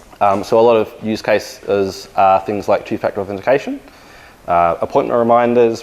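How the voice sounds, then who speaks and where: Medium-pitched male voice with an Australian accent, fairly quick and fairly even in intonation. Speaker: engineering manager and conference speaker. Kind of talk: conference talk.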